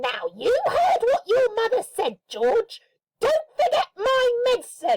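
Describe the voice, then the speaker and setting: Squeaky and extremely high-pitched, a woman puts on a character voice at a fairly slow pace, with a dry, close sound with no echo and sound effects in the background. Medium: read story. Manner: snappish, bossy.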